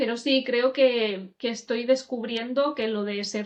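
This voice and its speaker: A woman at a fairly slow pace, intonation fairly even. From Catalonia, province of Barcelona. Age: 30s. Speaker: podcast host and teacher, interviewed. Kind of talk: interview about her own life. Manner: hesitant, many fillers.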